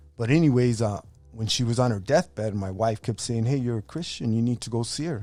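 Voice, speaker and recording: A man with an American accent at a medium pitch, ordinary pitch variation and a very fast pace, with music in the background. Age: 60s. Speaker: boxing referee and gang survivor. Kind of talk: testimony. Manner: casual, halting with repetitions.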